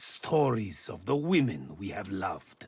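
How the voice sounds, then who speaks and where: Speaking at a fairly slow pace, the voice is a put-on character voice. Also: man. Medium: video game. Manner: measured, eloquent.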